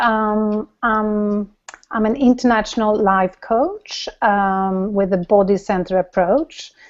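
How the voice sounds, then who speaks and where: A woman speaks in a Swedish accent with a fairly high pitch. Her pace is very slow. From Sweden. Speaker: life coach. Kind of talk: casual interview.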